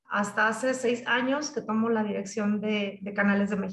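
Audible room echo hangs around a woman whose pitch varies in an ordinary way. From Michoacán, Mexico. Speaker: technology sales executive. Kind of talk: interview. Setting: video call.

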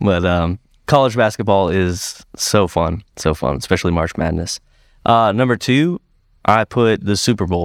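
A man with an American accent and a plain, everyday voice, fairly low in pitch with ordinary pitch variation, at a moderate pace, dry and close with no echo on a very clean recording with a silent background. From Florida (Sarasota). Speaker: podcast co-host. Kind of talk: casual chat.

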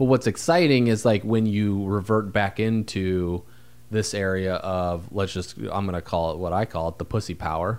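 Speaking at a moderate pace, a man with a fairly low pitch uses ordinary pitch variation in a very clean recording with a silent background. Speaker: podcast co-host, entrepreneur. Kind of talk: casual chat. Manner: informal, loose grammar.

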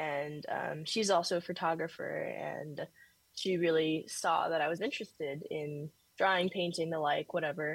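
An unremarkable speaking voice with fairly even intonation at a moderate pace. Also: woman, fairly low pitch for a woman. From Northern California. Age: 20s. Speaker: art student and painter. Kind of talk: casual interview.

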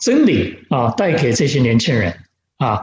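This is a man's voice. It has vocal fry. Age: 70s. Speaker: pastor. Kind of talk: sermon. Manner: halting with fillers.

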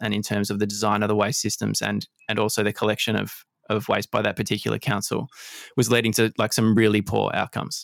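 This man speaks at a fairly quick pace. His voice is fairly low-pitched with vocal fry. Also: dry, close sound with no echo. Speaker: podcast host. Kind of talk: interview conversation.

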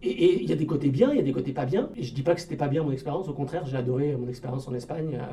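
Over noticeable background noise, a man with a fairly high pitch races along at a very fast pace with hardly any pauses and fairly even intonation. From Paris region, France. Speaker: francophone community volunteer. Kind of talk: radio interview. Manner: halting, many repetitions.

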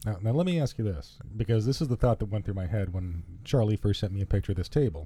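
Talking at a very fast pace, a man has a fairly low pitch and a dark, mellow tone. His voice is somewhat breathy, with lively intonation. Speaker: guest. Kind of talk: casual banter, podcast chat.

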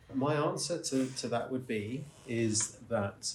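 A man talks with ordinary pitch variation. Noticeable background noise and audible room echo accompany him. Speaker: investment strategist. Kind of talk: interview answer at a conference.

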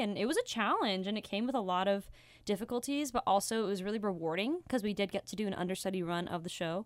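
In a very clean recording with a silent background, a woman with an American accent speaks in an unremarkable speaking voice. Her medium pitch shows ordinary pitch variation. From Nevada, US. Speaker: musical theatre student. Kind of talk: casual chat.

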